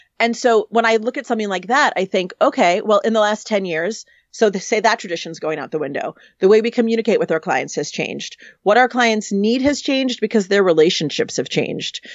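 A normal speaking voice with lively intonation at a fairly quick pace. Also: woman, fairly high pitch for a woman. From New York City. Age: 40s. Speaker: wedding planner. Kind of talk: casual interview chat.

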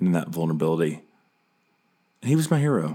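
A man talks with a Southern US accent and ordinary pitch variation. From US South, Charlotte, North Carolina. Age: 40s. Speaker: podcast host and pastor. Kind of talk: personal monologue.

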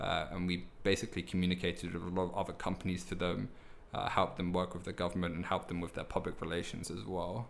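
The speaker has a London accent. The pace is very fast. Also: man, very deep, low pitch for a man, fairly even intonation. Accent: British, London, slightly softer than typical. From southeast London, raised partly abroad (Netherlands, Indonesia, India). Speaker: English teacher and language school manager. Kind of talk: casual chat.

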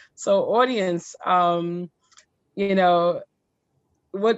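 Speaking in an unremarkable speaking voice, a woman keeps to a medium pitch with ordinary pitch variation. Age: 40s. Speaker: podcast co-host. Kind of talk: casual chat.

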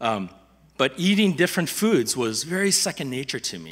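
A man with a Midwestern US accent has a bright, sharp tone, vocal fry and very wide pitch swings. The recording is very clean, with a silent background. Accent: General American, Midwestern. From US Midwest, Chicago suburbs (Wheaton), Korean immigrant family. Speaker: lay preacher, community leader. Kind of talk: sermon. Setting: church. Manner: halting, many fillers and repetitions.

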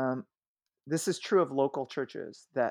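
A man talks at a moderate pace with a fairly high pitch and lively intonation. The sound is dry and close with no echo, on a very clean recording with a silent background. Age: 40s. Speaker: senior pastor. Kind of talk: casual interview.

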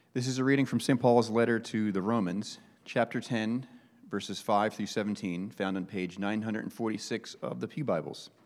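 The speaker uses a plain, everyday voice, moving at a moderate pace with ordinary pitch variation. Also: man. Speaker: scripture reader. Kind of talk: reading aloud. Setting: church.

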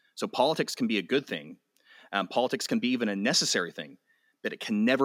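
A very fast American-accented man with vocal fry and lively intonation, on a very clean recording with a silent background and a dry, close sound with no echo. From West Texas, Amarillo. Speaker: pastor and author. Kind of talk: interview. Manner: halting, frequent fillers and repeats.

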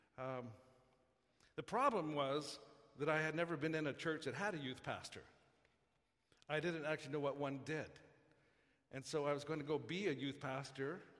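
A man speaks at a fairly high pitch and a moderate pace, with fairly even intonation. He leaves long, frequent pauses, and audible room echo is present. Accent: Canadian. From Canada, Saskatchewan (Saskatoon). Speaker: pastor. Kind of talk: sermon.

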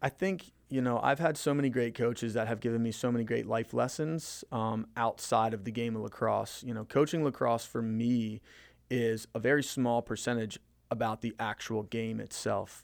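A man's normal speaking voice with an American accent, medium in pitch and fairly even in intonation, at a moderate pace on a very clean recording with a silent background. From Maryland, Frederick County. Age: 30s. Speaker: high school lacrosse coach. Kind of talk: casual interview.

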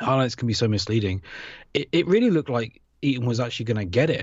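A man with a British accent talks at a medium pitch with lively intonation. His voice is somewhat breathy. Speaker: podcast host. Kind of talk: casual chat. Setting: remote recording. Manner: joking, self-deprecating.

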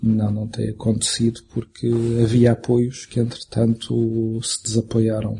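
A man speaks at a fairly slow pace in a dark, mellow tone. His delivery is somewhat breathy, with monotone, flat intonation. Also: medium pitch for a man. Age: 40s. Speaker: film director. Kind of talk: interview. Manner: halting.

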